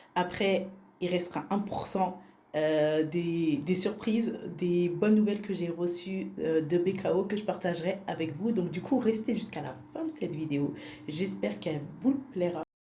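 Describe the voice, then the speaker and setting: A woman speaks at a fairly slow pace in a fairly low pitch, with ordinary pitch variation and audible room echo. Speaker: vlogger. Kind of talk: casual vlog narration. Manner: soft-spoken.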